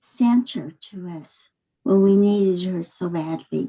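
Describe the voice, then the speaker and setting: Speaking at a very slow pace, a woman uses lively intonation at a medium pitch, her tone dark and mellow and somewhat breathy. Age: 70s. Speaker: community member. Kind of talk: casual video chat. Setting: video call.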